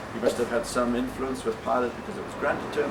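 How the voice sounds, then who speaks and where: A man is talking with audible room echo around him. Noticeable background noise runs underneath. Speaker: volunteer tour guide. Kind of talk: guided tour talk. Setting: outdoors.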